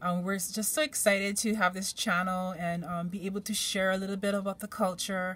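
A woman talks at a fairly quick pace with hardly any pauses. She has a Hawaiian accent and fairly even intonation. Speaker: tarot card reader. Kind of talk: tarot reading for viewers. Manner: relaxed, hesitant with fillers. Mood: calm, gentle, encouraging. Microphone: phone near.

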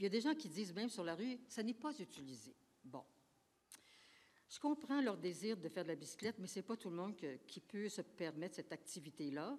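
Speaking at a fairly quick pace, a woman's voice shows big swings in loudness and very wide pitch swings. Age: 80s+. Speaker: senior citizen speaking at public consultation. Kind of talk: public consultation testimony. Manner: halting. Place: hall. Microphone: podium.

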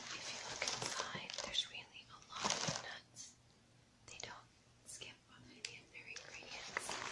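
Whispering, a woman keeps to a fairly slow pace. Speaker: ASMR creator. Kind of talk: ASMR unboxing. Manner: whispered. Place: home room.

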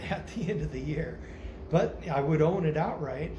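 With noticeable background noise behind him, a man of fairly high pitch speaks at a moderate pace and with fairly even intonation. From United States. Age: 50s. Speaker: vlogger. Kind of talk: casual monologue. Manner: halting, many fillers. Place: home room. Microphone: phone near.

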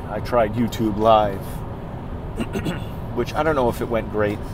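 A man is heard with a dry sound and no echo. Background noise is noticeable. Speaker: funeral professional vlogger. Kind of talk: casual vlog chat. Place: car. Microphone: earbuds.

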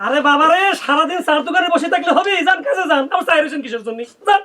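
A man puts on a character voice, extremely high-pitched and bright and sharp in tone. He talks at a very fast pace with lively intonation.

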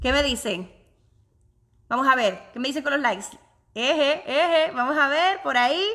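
A woman's high-pitched, raised and projected voice, bright and sharp in tone, animated with lively intonation, at a moderate pace with long, frequent pauses. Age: 30s. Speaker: online business vlogger. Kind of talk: live stream chat with viewers. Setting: home office, live video.

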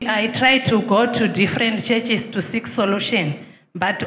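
Heard with audible room echo, a woman talks at a moderate pace in a fairly high pitch with fairly even intonation. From Zimbabwe. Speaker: church visitor seeking help. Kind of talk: testimony. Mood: troubled, earnest. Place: church. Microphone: handheld.

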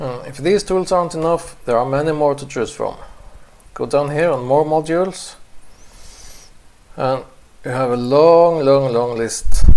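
A man with a non-native accent speaks at a fairly high pitch and a fairly slow pace, with ordinary pitch variation. His loudness swings widely, and he takes long, frequent pauses. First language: not English. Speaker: photographer. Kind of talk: software tutorial narration.

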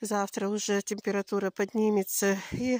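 At a fairly slow pace, a woman speaks in a dry sound with no echo over light background noise. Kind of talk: casual vlog chat. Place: garden. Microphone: phone near.

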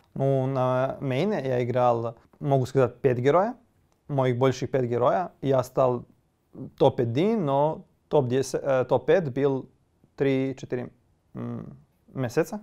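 A dark, mellow tone in a Serbian accent, very slow with long, frequent pauses and ordinary pitch variation. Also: man, medium pitch for a man, quiet background. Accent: Serbian accent in Russian. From Serbia (Kosovo, Gračanica). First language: Serbian (speaking Russian). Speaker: esports player. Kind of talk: interview. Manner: halting.

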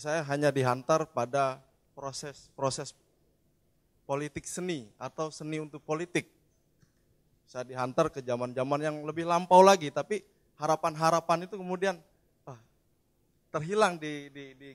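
A man's fairly high voice at a moderate pace, with ordinary pitch variation, big swings in loudness, long and frequent pauses, and a dry, close sound with no echo. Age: young. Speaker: audience member. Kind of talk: audience question.

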